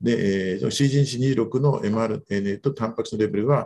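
Lively intonation runs through this man's speech at a fairly slow pace. His tone is dark and mellow. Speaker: physician presenting research papers. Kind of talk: journal club presentation. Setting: video call.

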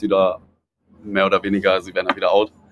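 The man speaks with a fairly low pitch. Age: 20s. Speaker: fashion brand founder. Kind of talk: casual chat. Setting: outdoors on a balcony.

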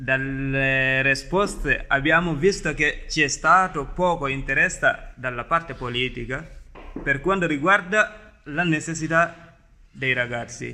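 The man's fairly high pitch shows ordinary variation as he talks at a very slow pace. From Gambia. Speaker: youth podcast host. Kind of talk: semi-scripted podcast hosting.

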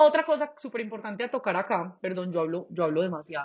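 A woman's fairly quick speech with very wide pitch swings. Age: 20s. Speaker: actress. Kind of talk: casual chat. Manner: talkative.

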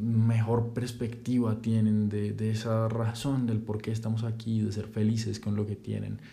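A man speaks at a fairly slow pace in a dark, mellow, somewhat breathy voice of medium pitch. Room echo can be heard around him. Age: 20s. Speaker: podcaster and student. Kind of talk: casual monologue introduction.

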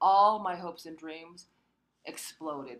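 In an American accent, a woman with a plain, everyday voice speaks at a fairly slow pace with ordinary pitch variation. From US (Korean immigrant family). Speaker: Bible college student. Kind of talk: testimony.

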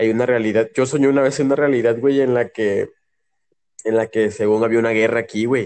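A man with a normal speaking voice at a medium pitch, fairly quick pace, fairly even intonation and very even loudness. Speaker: podcast co-host. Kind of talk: casual chat.

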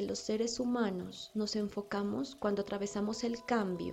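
Medium-pitched female voice at a moderate pace with fairly even intonation, amid noticeable background noise. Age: 30s. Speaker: spiritual podcast host, angel channeler. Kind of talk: spiritual monologue.

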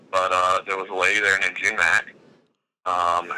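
The speaker has an Alabama accent and keeps a moderate pace. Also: man. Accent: Alabama Southern US. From Alabama (Gadsden). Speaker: video producer and freelance cinematographer. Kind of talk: casual interview.

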